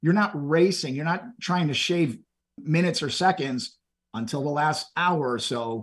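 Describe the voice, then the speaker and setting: This man has a plain, everyday voice, pitched fairly high and moving with ordinary pitch variation at a fairly slow pace. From Texas, Houston area. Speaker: endurance event participant. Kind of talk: interview.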